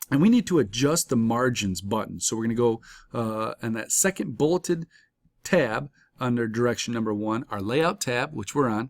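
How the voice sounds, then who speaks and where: An unremarkable speaking voice, lively in intonation and moderate in pace, on a very clean recording with a silent background and a dry, close sound with no echo. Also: man, medium pitch for a man. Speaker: college instructor. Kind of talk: tutorial.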